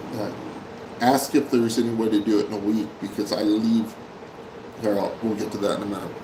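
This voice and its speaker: A man with an American accent talks at a fairly quick pace in a fairly low, monotone, flat voice, leaving long, frequent pauses. Audible room echo and noticeable background noise are present. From Oklahoma, Tulsa. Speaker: live stream host. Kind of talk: casual live stream chat. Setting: live stream from Manila.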